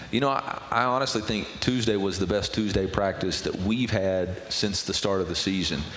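There is noticeable background noise as a man speaks at a moderate pace with hardly any pauses. His voice is fairly low, with ordinary pitch variation and very even loudness. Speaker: college football head coach. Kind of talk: radio interview, casual talk. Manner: conversational, candid, slightly wry.

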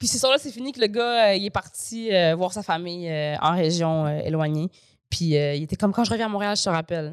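A woman talks at a fairly quick pace with lively intonation. Hers is an unremarkable speaking voice at medium pitch. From Quebec. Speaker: comedian. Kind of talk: casual chat.

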